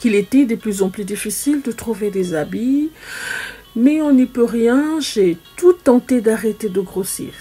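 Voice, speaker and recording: Music plays in the background as a woman speaks at a very slow pace. Her pitch is fairly high and her intonation lively. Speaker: story time host. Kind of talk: first-person testimony narration.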